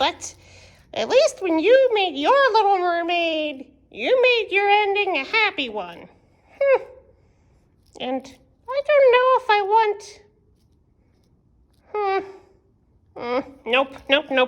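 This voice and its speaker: In a cartoonish character voice, a woman speaks at an extremely high pitch with very wide pitch swings, at a fairly slow pace with long, frequent pauses. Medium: puppet. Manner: exaggerated, dramatic.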